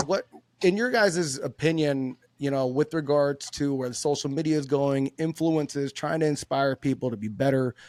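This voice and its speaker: Sound is close and dry, without any echo. An American accent colors the speech. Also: man, fairly high pitch for a man, ordinary pitch variation. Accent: occasional slight Southern drawl. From US West Coast, Los Angeles. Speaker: podcast host, Navy veteran. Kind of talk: casual interview chat.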